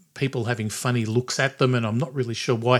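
A man is speaking at a medium pitch. The recording is very clean and the background silent. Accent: Australian. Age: 60s. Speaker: podcast host. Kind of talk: casual chat.

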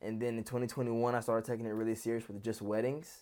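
A man's fairly low voice at a very fast pace with an American accent, on a very clean recording with a silent background. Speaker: wedding videographer. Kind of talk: interview.

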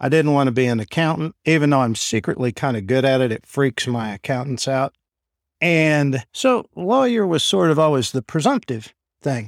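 A plain, everyday voice from a man, fairly high-pitched with lively intonation at a moderate pace, dry and close with no echo on a very clean recording with a silent background. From Oklahoma (Enid). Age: 50s. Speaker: lawyer and law firm owner. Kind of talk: interview.

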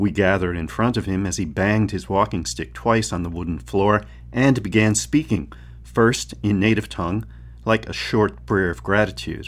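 Vocal fry runs through a man's very deep, low voice as it swings very widely in pitch with a dramatic tone. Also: moderate pace. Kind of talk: literary audiobook reading. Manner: measured, dramatic narration with character voices; expressive, crisply paced, shifting tone between passages.

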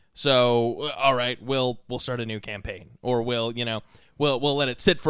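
This man has a medium pitch and a plain, everyday voice, and his intonation stays fairly even at a moderate pace. The recording is very clean, with a silent background. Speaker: podcast host. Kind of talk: casual chat.

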